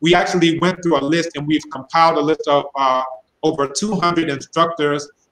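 With an unremarkable speaking voice, a man talks at a moderate pace, fairly high in pitch, with fairly even intonation. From United States. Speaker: linguist; guest. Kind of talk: live-streamed panel discussion. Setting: video call. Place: home room. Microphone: webcam.

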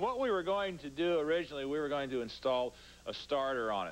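A man is speaking here. He moves at a fairly quick pace. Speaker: TV show co-host. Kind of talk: tutorial. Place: garage.

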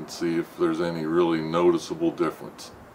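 A man talks at a moderate tempo with light background noise behind him. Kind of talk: casual vlog chat. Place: car. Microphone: phone near.

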